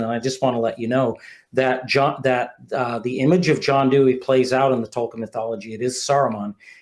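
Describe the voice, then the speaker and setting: Here a man with an American accent speaks at a fairly quick pace. His pitch is medium and his intonation fairly even. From US Northeast, Vermont (Burlington). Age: 60s. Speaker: author. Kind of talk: podcast interview. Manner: halting, frequent repetitions and fillers.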